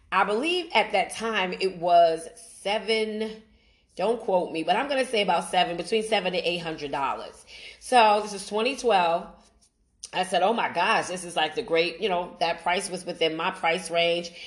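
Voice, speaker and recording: In an ordinary speaking voice, a woman with an American accent talks at a moderate pace. Her pitch is medium, with ordinary pitch variation. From Brooklyn, New York. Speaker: podcast host. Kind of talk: personal testimony monologue.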